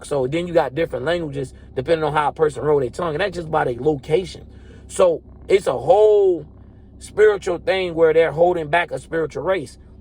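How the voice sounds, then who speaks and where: High-pitched for a man, this voice has ordinary pitch variation. He talks at a fairly quick pace. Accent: Southern US. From Florida. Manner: relaxed.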